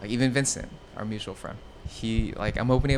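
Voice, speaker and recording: A man with a Californian accent. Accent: Californian American. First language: Vietnamese. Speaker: streetwear showroom owner. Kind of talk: podcast interview. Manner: casual, filler-heavy.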